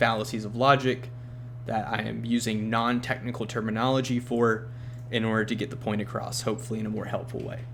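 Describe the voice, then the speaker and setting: Amid noticeable background noise and audible room echo, a man of medium pitch speaks in a flat monotone. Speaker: bible teacher. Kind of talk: bible study lecture.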